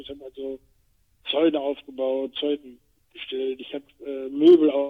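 Speaking at a fairly high pitch, a man keeps a monotone, flat intonation. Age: 60s. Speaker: retired actor and podcast co-host. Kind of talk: casual chat.

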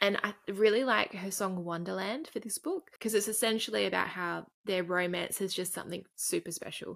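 With an Australian accent, a woman talks at a moderate pace in a medium pitch and ordinary pitch variation. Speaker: podcast co-host. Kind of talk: casual chat, book review. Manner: blunt, sweary, animated.

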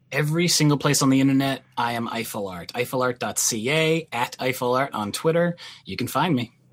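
A man with a medium pitch and an unremarkable speaking voice talks at a moderate pace with ordinary pitch variation. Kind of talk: casual chat.

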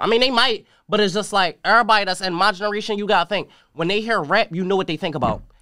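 In a very clean recording with a silent background, a man uses a raised, projected voice at a high pitch, bright and sharp in tone, with lively intonation and a very fast pace. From North Philadelphia. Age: young. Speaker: rapper. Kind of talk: casual chat.

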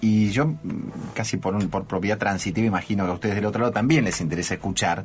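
Over noticeable background noise, a man talks at a very fast pace in a fairly low pitch with ordinary pitch variation. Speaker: radio host. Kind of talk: radio interview. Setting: radio studio. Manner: halting, many fillers.

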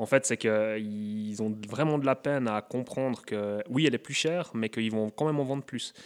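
This man has an unremarkable speaking voice at medium pitch, with ordinary pitch variation and hardly any pauses at a moderate pace. The recording is very clean with a silent background, and the sound is dry and close with no echo. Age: 30s. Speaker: brewer. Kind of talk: interview.

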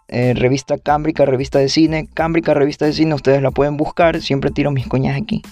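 A man with a fairly high pitch talks at a very fast pace and fairly even intonation over noticeable background noise. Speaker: podcast host. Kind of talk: casual monologue.

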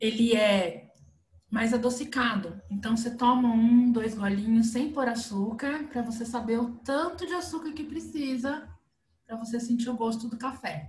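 Against audible room echo, a woman talks at a moderate pace with a fairly high pitch and ordinary pitch variation. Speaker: podcast host, behavior analyst. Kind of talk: casual chat.

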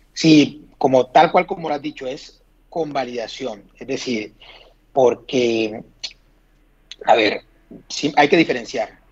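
A man's fairly high voice, very slow, with ordinary pitch variation, big swings in loudness and long, frequent pauses. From Colombia, Sincelejo. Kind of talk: casual interview.

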